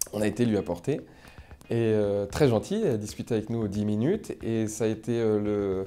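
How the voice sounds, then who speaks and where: Noticeable background noise sits behind the voice. The pace is moderate, with ordinary pitch variation. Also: man, fairly low pitch for a man. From France, Paris region (Seine-et-Marne). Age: 30s. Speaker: comedian. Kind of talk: interview, casual storytelling. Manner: hesitant, many fillers.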